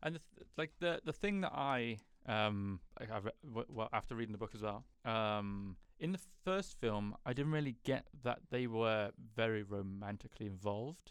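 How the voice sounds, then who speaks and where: With an unremarkable speaking voice, a man at a medium pitch talks at a moderate pace with lively intonation. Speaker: podcast host. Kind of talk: casual chat.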